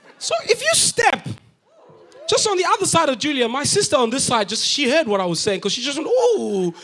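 A man speaks at a fairly quick pace in an extremely high pitch, his voice swinging very widely up and down. Noticeable background noise can be heard behind him. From Africa. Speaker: pastor. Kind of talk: sermon. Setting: church.

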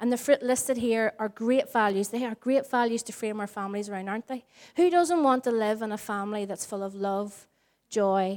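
A woman with a Northern Irish accent speaks at a fairly high pitch on a very clean recording with a silent background. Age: 40s. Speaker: pastor. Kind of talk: sermon. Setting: church.

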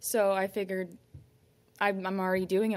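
With an American accent and a medium pitch, a woman speaks at a fairly quick pace in a very clean recording with a silent background. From US Midwest. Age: 20s. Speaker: police officer. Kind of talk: casual chat.

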